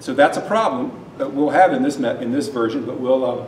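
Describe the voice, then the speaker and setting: A man at a fairly quick pace with lively intonation, plus audible room echo and noticeable background noise. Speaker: university lecturer. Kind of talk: lecture. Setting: lecture hall with students. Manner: loud.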